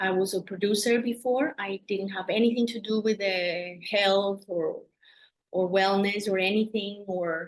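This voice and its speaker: In a Colombian accent, a woman talks at medium pitch with ordinary pitch variation. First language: Spanish. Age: 40s. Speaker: doula. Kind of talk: interview. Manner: halting.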